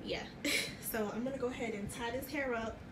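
Loud background noise under a woman's moderately paced speech. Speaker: home vlogger. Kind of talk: casual vlog chat. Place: bathroom. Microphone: phone near.

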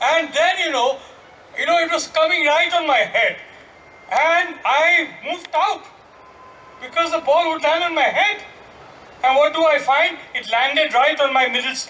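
Raised and projected, a man's voice at an extremely high pitch comes with an Indian accent, a moderate pace, ordinary pitch variation and long, frequent pauses. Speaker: journalist. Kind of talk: panel discussion. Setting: stage with audience. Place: stage. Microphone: handheld.

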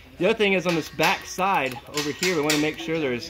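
Talking at a very fast pace, a man shows ordinary pitch variation. Clear music plays behind him. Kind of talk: tutorial. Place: home room.

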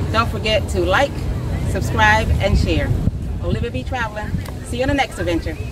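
Against loud background noise, a woman talks at a fairly quick pace, the sound dry with no echo. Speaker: travel vlogger. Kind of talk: casual vlog chat. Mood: upbeat, satisfied. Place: beach. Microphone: camera far.

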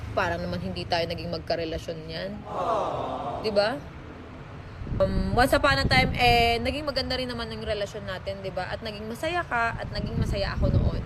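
A fairly quick pace against noticeable background noise. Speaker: vlogger or online personality answering a rival or ex. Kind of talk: heated rebuttal aimed at an ex, half-scolding, half-wounded, in a social media response. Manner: swings between sarcastic mockery and wounded, nostalgic appeals.

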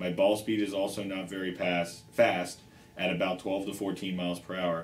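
Over light background noise and audible room echo, a man talks at a moderate pace in a very deep, low pitch with monotone, flat intonation. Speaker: show host. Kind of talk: reading a viewer question aloud. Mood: light, joking start. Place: shop.

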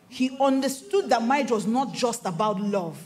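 Over light background noise, a woman with a Nigerian accent talks in an animated tone. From Nigeria, Igbo-speaking region. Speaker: pastor. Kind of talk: sermon. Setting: stage with audience. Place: stage. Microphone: handheld.

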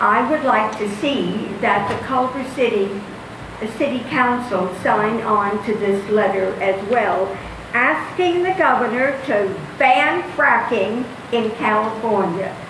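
A very slow delivery with ordinary pitch variation, noticeable background noise and audible room echo. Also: woman, fairly high pitch for a woman. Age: 80s+. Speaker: public commenter at council meeting. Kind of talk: public comment speech. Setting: city council meeting. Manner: halting.

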